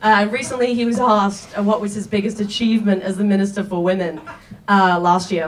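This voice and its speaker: With an Australian accent, a woman speaks at a moderate pace and medium pitch with ordinary pitch variation, amid noticeable background noise and audible room echo. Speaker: comedian. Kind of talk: stand-up. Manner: halting.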